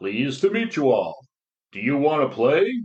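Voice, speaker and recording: Putting on a character voice, a man talks at a moderate pace with very wide pitch swings. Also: fairly high pitch for a man. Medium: read story. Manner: warm, friendly.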